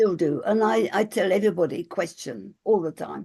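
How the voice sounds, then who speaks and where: Moderate-paced female speech with vocal fry and a dark, mellow tone. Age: 80s+. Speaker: spiritual teacher and author. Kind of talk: casual chat.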